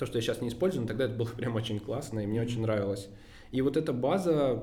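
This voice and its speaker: The voice belongs to a man with a medium pitch. Noticeable background noise and audible room echo can be heard. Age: 20s. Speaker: agency CEO. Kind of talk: interview.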